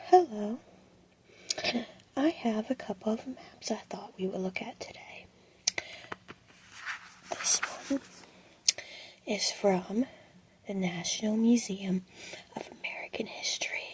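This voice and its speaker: A soft-spoken woman with a fairly high pitch and a calm tone talks at a fairly slow pace, with lively intonation, big swings in loudness, and long, frequent pauses. Noticeable background noise sits behind her voice. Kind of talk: ASMR roleplay explaining museum maps. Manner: soft-spoken, calm.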